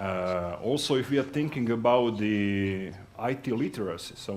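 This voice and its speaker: A man with a Croatian accent speaks at a fairly low pitch, with ordinary pitch variation. Audible room echo surrounds his voice. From Croatia, Zagreb. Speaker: sales executive. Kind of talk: conference talk. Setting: stage with audience. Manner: halting.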